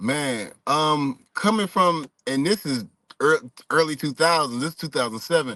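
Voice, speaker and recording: In a quiet background, the voice comes across at a moderate pace with ordinary pitch variation and a dry, close sound with no echo. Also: man, fairly high pitch for a man. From US South, Stone Mountain, Georgia. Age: 30s. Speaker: former pro basketball player, expat. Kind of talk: interview. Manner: casual, relaxed with many fillers.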